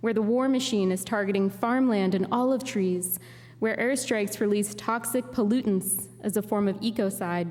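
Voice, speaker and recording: In an American accent, a woman at medium pitch keeps very even loudness in an ordinary speaking voice. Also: ordinary pitch variation, moderate pace. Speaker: guest preacher and poet. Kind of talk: Sunday sermon delivered to a congregation.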